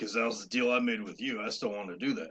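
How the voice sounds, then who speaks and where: A man puts on a character voice that is raspy and medium in pitch. He delivers it at a very fast pace. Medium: actual play. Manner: earnest, polite.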